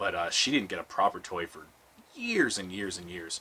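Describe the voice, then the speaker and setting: Very deep, low male speech at a fairly quick pace amid noticeable background noise. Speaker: movie reviewer. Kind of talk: movie commentary. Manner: fast; fidgety.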